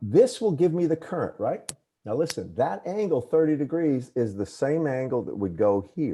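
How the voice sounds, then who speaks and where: A man with a Southern US accent, a dark, mellow tone and fairly high pitch, very wide pitch swings, at a moderate pace. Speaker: engineering professor. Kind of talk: lecture. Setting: video call.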